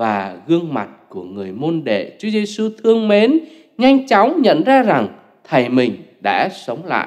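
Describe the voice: With very wide pitch swings, a man speaks at a moderate pace in a fairly high pitch.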